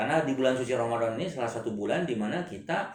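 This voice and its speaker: A man's medium-pitched voice races along very fast. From Indonesia. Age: 50s. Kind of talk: religious talk show interview.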